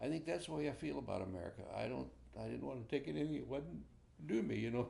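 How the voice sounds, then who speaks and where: A man with a Midwestern US accent at a very fast pace, with audible room echo. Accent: US Midwest. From Ohio. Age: 80s+. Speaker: war veteran. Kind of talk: oral history interview. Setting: at home. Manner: halting.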